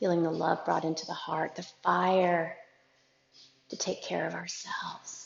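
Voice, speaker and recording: Soft-spoken and calm with a gentle tone, a woman talks at a fairly slow pace. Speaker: yoga instructor. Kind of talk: guided yoga class. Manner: calm, gentle.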